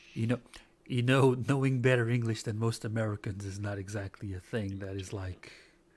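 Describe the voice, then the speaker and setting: A man with a non-native accent, medium pitch, and a somewhat breathy voice, speaking at a fairly quick pace with fairly even intonation. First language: not English. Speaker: talk show co-host. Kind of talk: casual news roundup chat.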